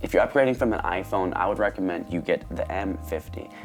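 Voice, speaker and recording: Music plays behind a man with a very deep, low pitch. He talks at a very fast pace with lively intonation. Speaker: photography YouTuber. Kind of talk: casual talk to camera. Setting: lapel mic.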